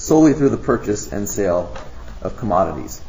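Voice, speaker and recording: A man speaks with very wide pitch swings. Noticeable background noise and audible room echo are present. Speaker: lecturer presenting at a conference. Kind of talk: lecture. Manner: fast.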